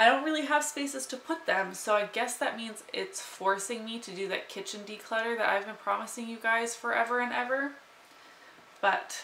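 Big swings in loudness mark a woman's moderate-paced speech, heard with audible room echo and light background noise. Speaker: lifestyle vlogger. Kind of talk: casual vlog chat. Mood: cheerful, playful. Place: home room.

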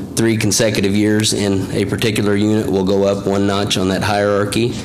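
Over noticeable background noise, a man speaks in a fairly low, monotone, flat voice. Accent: American. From US Midwest. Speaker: wildlife biologist. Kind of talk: public meeting presentation. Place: meeting room. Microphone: podium.

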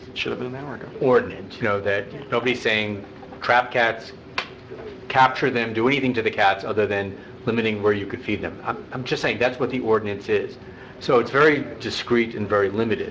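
A man speaks at a fairly quick pace and medium pitch, with fairly even intonation. It is a normal speaking voice, with light background noise. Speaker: council member. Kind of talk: public meeting discussion. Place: hall. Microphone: podium.

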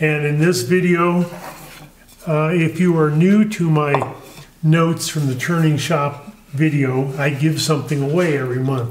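At a fairly slow pace, a man talks with fairly even intonation. Light background noise and audible room echo are present. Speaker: woodturning channel host. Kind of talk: casual vlog chat. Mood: friendly, a bit chuckling. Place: workshop.

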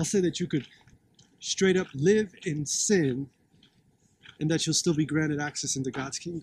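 With light background noise, a man talks at a moderate pace and ordinary pitch variation, leaving long, frequent pauses. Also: dry sound with no echo. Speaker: street preacher. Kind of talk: street sermon, preaching. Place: open country. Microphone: phone near.

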